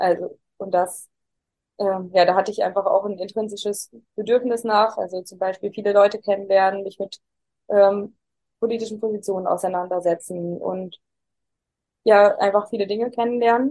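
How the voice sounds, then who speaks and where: A woman's medium-pitched voice at a moderate pace, monotone and flat, with big swings in loudness and long, frequent pauses. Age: 20s. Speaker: interviewee sharing personal crisis experience. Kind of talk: interview. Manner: halting.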